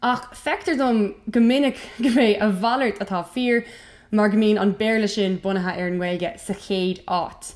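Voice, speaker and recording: Delivered at a moderate pace in an Irish accent, the speech shows ordinary pitch variation. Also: woman, fairly high pitch for a woman. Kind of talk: casual educational talk to camera.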